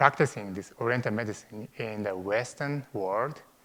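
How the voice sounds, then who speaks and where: This man speaks with a Japanese accent. His pitch sits fairly low. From Japan, Tokyo suburbs. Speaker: acupuncturist. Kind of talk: interview. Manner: halting, many fillers.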